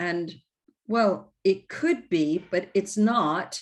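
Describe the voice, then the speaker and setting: This woman's voice sits at a medium pitch. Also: quiet background. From United States. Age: 60s. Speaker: coach and trainer. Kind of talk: online workshop presentation.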